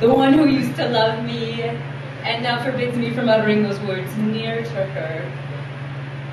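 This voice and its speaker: A woman with a very deep, low pitch speaks with lively intonation over noticeable background noise. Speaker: slam poet. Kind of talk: live spoken word poetry performance. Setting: live audience in a theatre.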